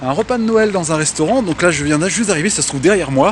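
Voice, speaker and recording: Noticeable background noise sits behind a man speaking at a high pitch with lively intonation. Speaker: DJ and event host. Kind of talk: vlog. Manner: casual with many hesitations.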